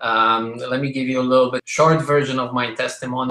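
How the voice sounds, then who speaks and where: A man speaks with a Polish accent. His pitch is medium and his pace moderate. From Poland. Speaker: business speaker. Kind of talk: testimony. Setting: conference call.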